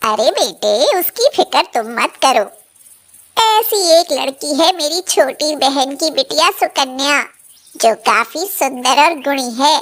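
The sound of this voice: A cartoonish character voice moves at a fairly slow pace. The intonation is lively. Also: woman, high pitch for a woman.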